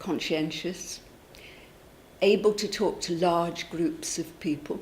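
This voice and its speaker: At a very slow pace, a woman talks in a somewhat breathy voice with a fairly low pitch and fairly even intonation. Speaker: local official or campaigner for a town crier. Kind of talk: interview answer.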